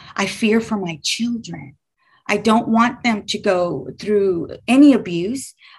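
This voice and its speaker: The voice is somewhat breathy and moves at a very slow pace with lively intonation. The background is quiet. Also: woman. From Texas, Houston. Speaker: business owner sharing faith story. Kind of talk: testimony.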